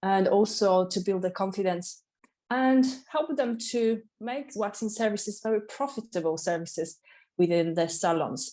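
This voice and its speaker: With a Polish accent, a woman speaks at a medium pitch and moderate pace in a dark, mellow tone, with ordinary pitch variation against a quiet background. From Poland, Katowice. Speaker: waxing specialist and salon owner. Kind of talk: interview. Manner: energetic.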